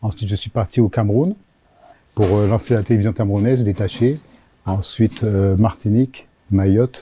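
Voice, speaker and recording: A man's dark, mellow, somewhat breathy voice at a moderate pace, with fairly even intonation and long, frequent pauses. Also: fairly low pitch for a man. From Africa (Senegal, Gabon, Cameroon, Madagascar). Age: 60s. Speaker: regional TV network director. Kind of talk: interview. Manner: hesitant with frequent fillers.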